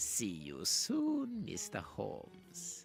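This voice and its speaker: A man puts on a character voice pitched high. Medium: video game. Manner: arrogant, theatrical.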